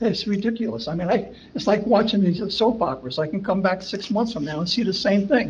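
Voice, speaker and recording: A man's high-pitched, lively voice at a fairly quick pace with hardly any pauses, amid audible room echo and noticeable background noise. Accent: American. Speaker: resident speaking at public comment. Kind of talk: public comment at council meeting. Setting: municipal meeting room. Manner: halting, repetitive.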